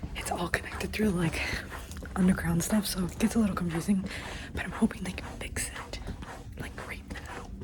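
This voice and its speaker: A woman whispers at a moderate pace with long, frequent pauses and big swings in loudness, over noticeable background noise. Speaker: vlogger, university intern. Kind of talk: casual vlog. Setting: walking indoors at workplace. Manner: soft-spoken.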